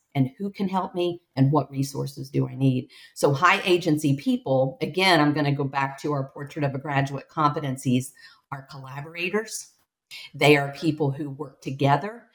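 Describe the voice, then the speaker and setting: A woman's very deep, low voice with an American accent, ordinary pitch variation and a moderate pace. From rural Appalachia, southern Ohio. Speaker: education executive, former teacher. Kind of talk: interview conversation.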